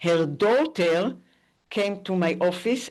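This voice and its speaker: With a non-native accent, a woman speaks at a very slow pace and a medium pitch. Her intonation is lively, and the background is quiet. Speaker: AI professor. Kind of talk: conference talk. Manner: halting.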